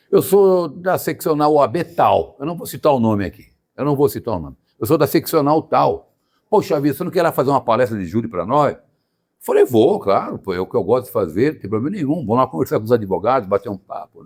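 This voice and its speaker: This man talks very fast at a fairly high pitch. His voice shows vocal fry and very wide pitch swings. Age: 70s. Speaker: lawyer and show host. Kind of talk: casual chat. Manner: animated; halting, many repetitions.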